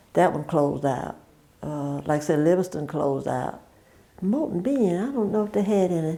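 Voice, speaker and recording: Lively intonation marks this woman's speech, delivered with a Southern US accent. Her pitch is fairly low and her pace moderate. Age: 80s+. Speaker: oral history interviewee. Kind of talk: oral history interview. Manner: halting.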